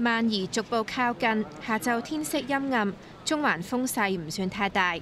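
In a normal speaking voice, a woman talks at a fairly slow pace with lively intonation and a fairly high pitch. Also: very even loudness. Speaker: news reporter. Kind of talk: news report narration.

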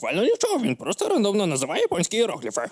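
Putting on a character voice, a high-pitched man rattles along at a very fast pace in a dry, close sound with no echo. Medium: fan dub.

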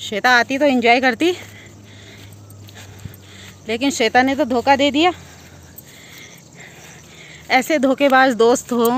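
With a high pitch and ordinary pitch variation, a woman talks at a very slow pace. Her long pauses come often, and the sound is dry with no echo. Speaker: vlogger in village orchard. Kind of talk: casual vlog chat. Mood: playful, laughing. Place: farm machine. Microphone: phone near.

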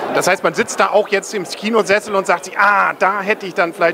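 Over crowd noise in the background, a man speaks in a raised, projected voice with high pitch, fairly even intonation and a fairly quick pace. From northern Germany. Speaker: film reviewer and interviewer; film reviewer, interviewer. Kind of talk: casual interview. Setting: cinema premiere event. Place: hall. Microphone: handheld.

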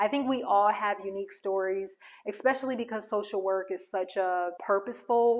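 A woman talks with ordinary pitch variation at a moderate pace, and the background is quiet. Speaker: social worker and career coach; career coach. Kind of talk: casual vlog monologue. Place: home room. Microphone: lapel.

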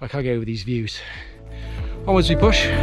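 A man's voice comes through dry, with no echo. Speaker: hiker vlogger. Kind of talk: casual vlog chat. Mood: excited, enthusiastic. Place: open country. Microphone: phone near.

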